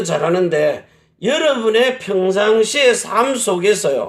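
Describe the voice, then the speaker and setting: This man talks very slowly, with lively intonation. He is loud. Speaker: pastor. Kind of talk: sermon.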